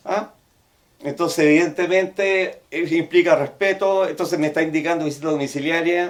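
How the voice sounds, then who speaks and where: A high-pitched man in a Chilean accent speaks at a moderate pace with fairly even intonation. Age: 60s. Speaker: therapist. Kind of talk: professional case discussion.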